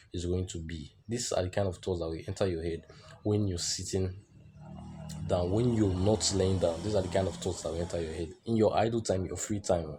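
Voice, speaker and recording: A man speaks at a very deep, low pitch with a dark, mellow tone. His delivery is flat and monotone, and somewhat breathy. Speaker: self-improvement vlogger. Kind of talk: motivational monologue.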